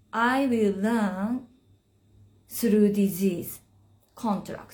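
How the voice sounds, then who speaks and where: Somewhat breathy and fairly high in pitch, a woman speaks with a Japanese accent at a very slow pace with ordinary pitch variation. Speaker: spiritual teacher. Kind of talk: live stream talk. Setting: Instagram live stream. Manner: halting.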